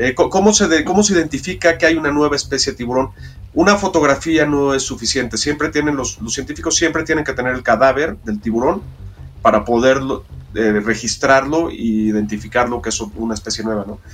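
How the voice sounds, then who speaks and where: A man talks at a fairly quick pace. His pitch is medium, with lively intonation. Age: 50s. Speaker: diver and documentary filmmaker. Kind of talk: interview. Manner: halting.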